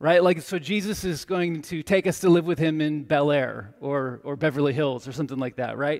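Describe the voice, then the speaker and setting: In a very clean recording with a silent background, a man with a normal speaking voice and a fairly high pitch talks at a moderate pace with hardly any pauses and ordinary pitch variation. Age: 40s. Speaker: pastor. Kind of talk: sermon.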